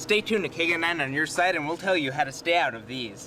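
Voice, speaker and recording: A man's lively, fairly quick speech over noticeable background noise. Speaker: broadcast reporter and anchor. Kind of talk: TV news reporter voice-over reel.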